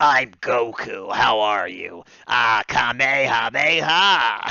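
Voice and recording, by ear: This man uses a put-on character voice at a medium pitch, speaking at a very slow pace.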